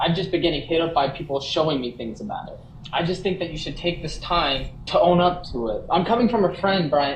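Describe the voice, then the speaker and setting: With audible room echo and noticeable background noise, a man speaks at a high pitch. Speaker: livestreamer. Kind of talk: heated conversation. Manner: stuttering at times. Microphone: sound cutting out.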